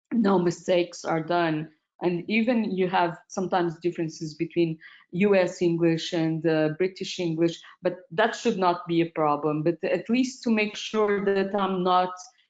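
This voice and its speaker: A woman with a non-native accent, fairly even intonation and very even loudness. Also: fairly low pitch for a woman, moderate pace. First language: not English. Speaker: medical doctor, paper reviewer. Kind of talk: webinar panel discussion. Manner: halting.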